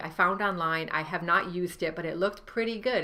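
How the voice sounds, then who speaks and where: The voice has a bright, sharp tone and a Rhode Island accent. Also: woman. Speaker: novelist and writing coach. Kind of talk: tutorial. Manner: casual, with many fillers.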